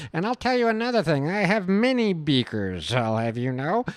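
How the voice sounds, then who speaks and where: This put-on character voice sits at a middle pitch and makes very wide pitch swings. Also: moderate pace. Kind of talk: pompous. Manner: sassy, haughty.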